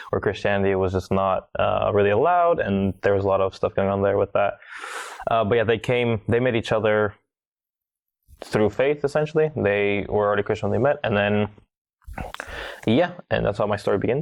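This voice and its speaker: A man with an American accent talks at a fairly quick pace and fairly low pitch, with ordinary pitch variation. His loudness stays very even, broken by long, frequent pauses. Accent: American-sounding English. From Bulgaria (Sofia). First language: Bulgarian. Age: 20s. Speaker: podcast guest. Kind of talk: interview storytelling.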